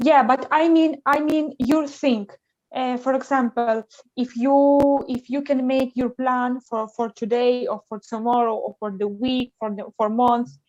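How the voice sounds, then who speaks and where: A woman with a Ukrainian accent talks at a fairly slow pace and high pitch, with fairly even intonation, in a dry, close sound with no echo. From Ukraine. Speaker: translator. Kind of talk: casual chat. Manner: halting.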